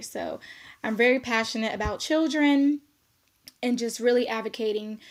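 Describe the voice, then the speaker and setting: A woman with an American accent speaks in an unremarkable speaking voice, recorded very cleanly against a silent background. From South Korea, US military base. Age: 20s. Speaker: social work student. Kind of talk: self-introduction video. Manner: casual, many fillers.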